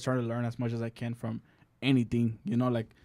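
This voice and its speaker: A man with a Mexican accent. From Mexico. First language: Spanish. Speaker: singer-songwriter and music producer. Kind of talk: casual podcast interview. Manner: halting, many fillers and restarts.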